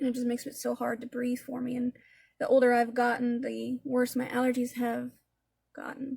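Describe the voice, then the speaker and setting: This woman's voice is high in pitch, and her intonation is monotone and flat. She keeps a moderate pace. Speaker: makeup tutorial creator. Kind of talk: casual talk-through makeup tutorial. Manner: stammering.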